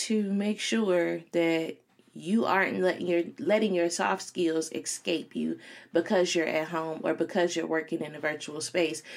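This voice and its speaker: Speaking at a fairly slow pace with an American accent, a woman uses an ordinary speaking voice, fairly low in pitch with ordinary pitch variation. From Chicago. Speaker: podcast host and career coach. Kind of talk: solo podcast monologue. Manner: casual, filler-heavy.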